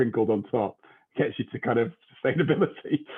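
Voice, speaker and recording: With lively intonation and a fairly quick pace, a man talks in an ordinary speaking voice. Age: 40s. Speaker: podcast host. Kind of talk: podcast interview.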